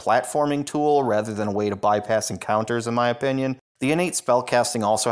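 The pitch varies in an ordinary way during plain reading aloud. Nothing disturbs the quiet background.

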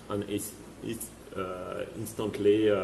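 Light background noise and audible room echo surround a man's somewhat breathy voice. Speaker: company CEO. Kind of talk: interview. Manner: halting, repeats words. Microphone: video call.

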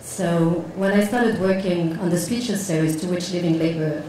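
With a Moroccan accent, a woman speaks at a moderate pace in a fairly low voice, with light background noise and audible room echo. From Morocco. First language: Moroccan Arabic. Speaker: visual artist. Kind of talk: panel discussion. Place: hall. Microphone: handheld.

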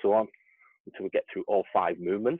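A man talks at a moderate pace over a quiet background, the sound dry with no echo. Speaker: fitness coach. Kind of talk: workout tutorial. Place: garden. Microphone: earbuds.

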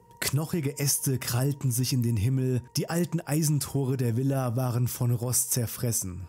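A man's voice with music in the background. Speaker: storyteller narrator. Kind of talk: horror story narration. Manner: hushed, suspenseful, slow-paced; addresses listeners directly, friendly.

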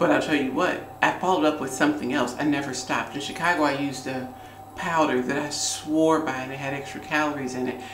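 Over noticeable background noise, a woman rushes along at a very fast pace in a very deep, low pitch with monotone, flat intonation. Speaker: beauty and lifestyle vlogger. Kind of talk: get-ready-with-me vlog, casual talk to camera. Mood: warm, chatty. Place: home room. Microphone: phone near.

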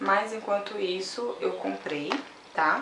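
A woman speaks at a fairly slow pace. There is audible room echo and light background noise. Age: 20s. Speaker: beauty vlogger. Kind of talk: unboxing video, casual chat to camera. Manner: animated. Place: home room. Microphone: phone near.

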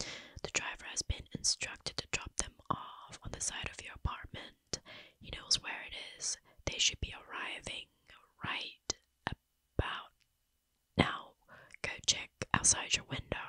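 A woman's whisper, fairly slow, with long, frequent pauses and big swings in loudness. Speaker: ASMR creator playing babysitter. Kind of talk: horror story narration. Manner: whispered. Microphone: studio mic.

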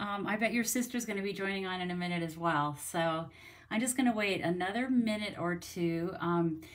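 A woman's voice with very wide pitch swings, against a quiet background. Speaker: craft demonstrator. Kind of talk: casual livestream chat. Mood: cheerful, friendly. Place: home room. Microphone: phone near.

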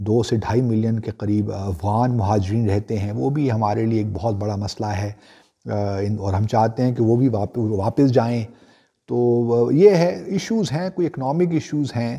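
A man with a medium-pitched, somewhat breathy voice speaks at a fairly slow pace in a dark, mellow tone, his pitch rising and falling in an ordinary way against a quiet background. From Pakistan. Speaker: commentator answering viewer questions. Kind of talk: viewer Q&A commentary. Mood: serious, earnest appeal. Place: home room.

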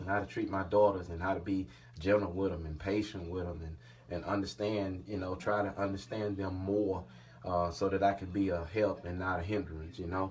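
With light background noise behind him, a man speaks at a moderate pace in a very deep, low pitch with fairly even intonation. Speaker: father, channel host. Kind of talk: casual talk to camera. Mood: warm, grateful, smiling. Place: home room. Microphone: phone near.

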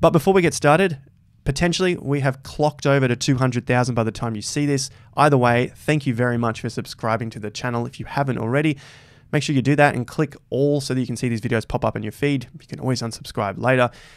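A man speaking at a very fast pace with ordinary pitch variation, against a quiet background. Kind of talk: commentary.

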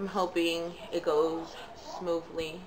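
Noticeable background noise behind a woman and her fairly low pitch. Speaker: parent vlogger. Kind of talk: casual vlog chat. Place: kitchen. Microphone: phone near.

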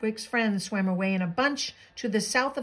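The speaker uses an unforced reading voice with ordinary pitch variation.

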